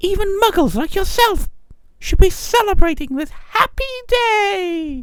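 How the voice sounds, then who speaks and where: Using a put-on character voice, a man talks at a fairly slow pace in a squeaky, extremely high pitch. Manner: joyful, exuberant.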